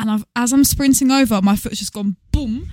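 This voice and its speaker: In an English accent, a woman with a fairly high pitch and a dark, mellow tone sounds somewhat breathy, the recording dry and close with no echo. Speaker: podcast co-host, former singing teacher. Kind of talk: casual chat. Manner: fast.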